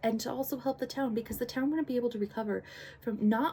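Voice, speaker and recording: Her tone is dark and mellow, and the woman's voice comes out somewhat breathy. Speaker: book and media reviewer, channel host. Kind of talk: casual spoken book review with plot retelling. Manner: talkative, hesitant with fillers and restarts.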